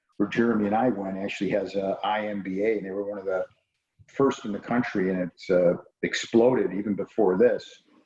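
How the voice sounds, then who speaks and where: A man's fairly low, dark and mellow voice with an American accent, at a fairly quick pace in a monotone, flat intonation. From Chicago, US Midwest. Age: 50s. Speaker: real estate developer. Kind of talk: interview on a video call.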